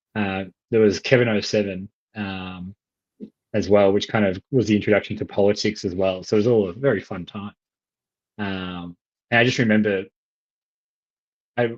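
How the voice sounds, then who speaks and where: Long, frequent pauses break up a man's speech at a moderate pace and a fairly low pitch. His intonation is fairly even, and the sound is dry and close with no echo. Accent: Australian. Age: 30s. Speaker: economist. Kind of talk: casual discussion.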